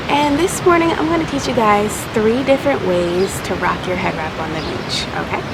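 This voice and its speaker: A woman speaks quietly at a medium pitch with very wide pitch swings, amid audible room echo and noticeable background noise. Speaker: headwrap brand owner and tutorial creator. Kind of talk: tutorial. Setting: outdoors on the beach. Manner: speaking quietly.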